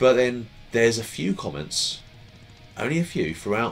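A man's fairly quick delivery over faint background music. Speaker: unboxing vlogger. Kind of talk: casual vlog chat. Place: home room.

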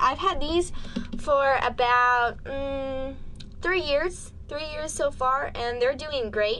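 In a raised, projected voice with ordinary pitch variation, the speaker goes very slowly over light background noise. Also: woman, high pitch for a woman. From US South, New Orleans, Louisiana. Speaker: animal educator / video presenter. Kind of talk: educational presentation to camera. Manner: animated. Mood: earnest, persuasive.

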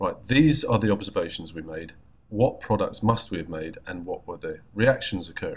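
A man at a moderate pace. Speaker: chemistry teacher. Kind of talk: lecture. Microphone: webcam.

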